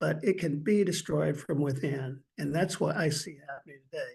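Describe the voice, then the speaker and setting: A man's fairly high voice with vocal fry and lively intonation, at a fairly quick pace. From Indiana (Indianapolis). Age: 70s. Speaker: judge and political candidate. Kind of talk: political interview. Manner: animated.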